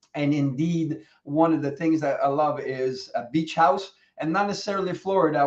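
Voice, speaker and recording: A man talks at a fairly quick pace in a normal speaking voice. His pitch is fairly high and his intonation fairly even. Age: 60s. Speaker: coach. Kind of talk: casual chat.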